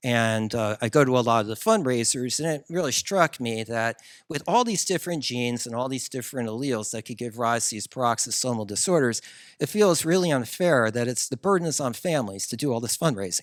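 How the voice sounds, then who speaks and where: A man with a New Jersey accent, talking at a fairly quick pace with lively intonation. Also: medium pitch for a man, very clean recording, silent background. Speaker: geneticist, researcher. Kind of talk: conference talk. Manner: hesitant, many fillers.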